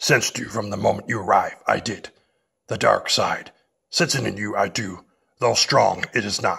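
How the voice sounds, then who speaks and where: In a put-on, growling character voice, a man speaks calmly at a moderate pace and a medium pitch. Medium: audio drama. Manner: inverted word order, calm, unhurried.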